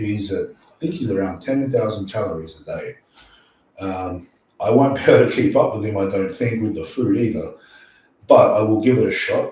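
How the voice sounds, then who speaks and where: With an Australian accent, a man speaks at a moderate pace, his loudness swinging widely. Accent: Australian, sometimes mistaken for English. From Australia, near Sydney. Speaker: powerlifting coach and YouTuber. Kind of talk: live stream Q&A. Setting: live stream at night. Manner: casual, animated.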